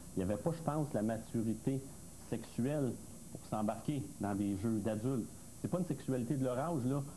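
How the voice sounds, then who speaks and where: Light background noise accompanies a man speaking at a moderate pace with ordinary pitch variation. His tone is dark and mellow, and somewhat breathy. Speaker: expert panelist. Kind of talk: TV panel discussion. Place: studio. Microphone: lapel.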